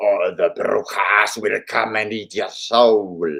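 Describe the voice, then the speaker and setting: Someone shouts in a put-on character voice. The pace is fairly slow. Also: man. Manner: screaming, ominous.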